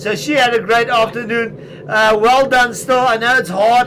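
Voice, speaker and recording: A man projects a raised voice at an extremely high pitch over noticeable background noise. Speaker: esports cycling commentator. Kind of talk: live commentary. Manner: animated, shouting encouragement.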